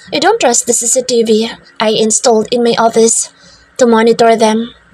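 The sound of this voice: The intonation here is lively. Someone is reading aloud in a natural voice.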